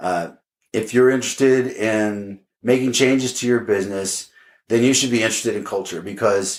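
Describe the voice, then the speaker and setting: Speaking at a moderate pace with an American accent, a man with a medium-pitched voice and ordinary pitch variation comes through on a very clean recording with a silent background. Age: 50s. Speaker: podcast host. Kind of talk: solo podcast monologue. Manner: many fillers and repeated words.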